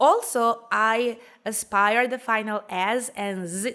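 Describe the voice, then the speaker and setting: A woman speaks in a Spanish accent with a bright, sharp tone and ordinary pitch variation. The recording is very clean, with a silent background. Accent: Spanish-accented English, soft r's. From Venezuela, Calabozo, Guárico. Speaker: graduate student. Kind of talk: recorded presentation.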